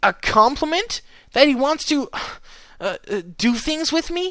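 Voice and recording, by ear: A man puts on a character voice with extremely high pitch and a bright, sharp tone. His intonation is lively and his pace fairly slow.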